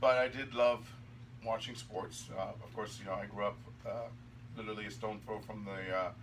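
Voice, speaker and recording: A man at a medium pitch talks at a fairly quick pace with fairly even intonation, big swings in loudness, and long, frequent pauses over noticeable background noise. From Germany. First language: German. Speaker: hockey referee. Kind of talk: casual interview chat.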